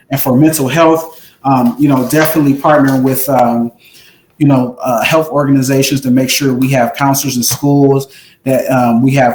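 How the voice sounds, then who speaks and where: A man with an American accent speaks at a fairly quick pace and medium pitch, his intonation fairly even. He has a normal speaking voice. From US Midwest, Pontiac, Michigan. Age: 30s. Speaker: political candidate, lawyer. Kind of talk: candidate Q&A forum; campaign pitch.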